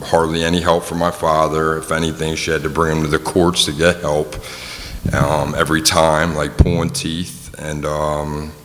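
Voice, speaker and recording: A man talks at a moderate pace in a very deep, low voice with monotone, flat intonation. Music plays in the background, and the room echo is audible. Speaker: person in addiction recovery. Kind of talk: testimony. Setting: community forum in a gym, audience. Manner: halting, many fillers.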